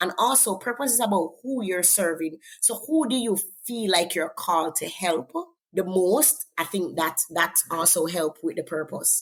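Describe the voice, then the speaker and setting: A woman with a Jamaican accent, medium in pitch, with lively intonation. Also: moderate pace. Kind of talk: interview testimony.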